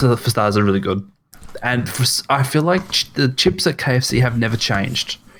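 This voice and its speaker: Speaking with an Australian accent, a man uses lively intonation at a medium pitch and a moderate pace. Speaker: podcast co-host. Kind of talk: casual chat. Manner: halting.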